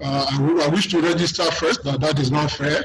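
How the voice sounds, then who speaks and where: A man speaks at a moderate pace with fairly high pitch and fairly even intonation. Noticeable background noise can be heard. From Nigeria. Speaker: broadcast regulator head. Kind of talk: webinar panel discussion. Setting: video call. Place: office. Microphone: webcam.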